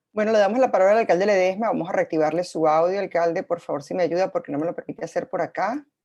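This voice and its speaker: Very fast, with hardly any pauses, a woman speaks at a medium pitch. Her tone is dark and mellow, with ordinary pitch variation. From Venezuela. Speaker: moderator. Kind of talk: panel moderation.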